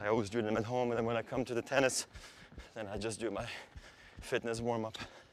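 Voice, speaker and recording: Speaking in a Swiss German accent, a man holds a medium pitch with monotone, flat intonation at a fairly quick pace. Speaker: athlete. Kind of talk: casual talk during training.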